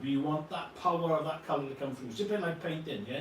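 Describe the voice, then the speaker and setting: With a Welsh accent and a fairly high pitch, a man speaks with ordinary pitch variation amid audible room echo and noticeable background noise. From Wales. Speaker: model scenery company co-founder. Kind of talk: live product demo. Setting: livestream. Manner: animated, casual with frequent fillers.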